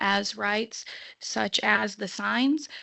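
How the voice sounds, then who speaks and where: A woman's medium-pitched voice comes out shaky and nervous in tone. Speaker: public commenter at city council meeting. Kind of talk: public comment. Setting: city council meeting. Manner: nervous, shaky voice.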